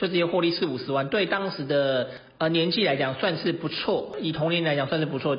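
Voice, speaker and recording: The talking runs rather fast, and a clear layer of background noise can be heard beneath it. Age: 20s. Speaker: real estate investor and podcast host. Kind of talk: educational monologue.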